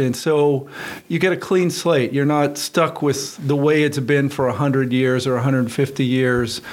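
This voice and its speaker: This man has an ordinary speaking voice, with an American accent. His pitch is fairly high and his pace fairly slow. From western Pennsylvania. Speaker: engineering professor and department chair. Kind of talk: radio interview.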